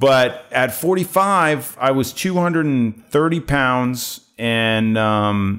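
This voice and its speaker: The recording is very clean with a silent background, featuring a man with an American accent. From US Northeast, New Jersey. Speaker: photographer. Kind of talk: interview. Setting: studio.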